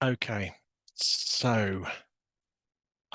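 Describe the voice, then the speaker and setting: With a British accent, a man speaks in a bright, sharp tone with ordinary pitch variation. The sound is dry and close, with no echo and a quiet background. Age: 60s. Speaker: database systems programmer. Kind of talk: technical presentation. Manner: hesitant, with frequent fillers.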